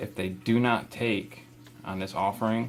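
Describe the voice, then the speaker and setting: Speaking at a fairly slow pace, a man uses a fairly low voice with very wide pitch swings. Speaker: reptile keeper, channel host. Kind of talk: tutorial. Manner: casual; talking low.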